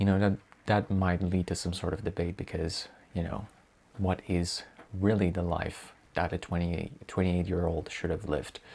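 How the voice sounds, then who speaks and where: With an Italian accent, a man speaks at a moderate pace in a very deep, low pitch and a monotone, flat intonation. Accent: Italian accent, noticeable to native speakers. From Italy. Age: 20s. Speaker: vlogger. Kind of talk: casual vlog self-introduction. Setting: bedroom. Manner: hesitant, with fillers and self-corrections.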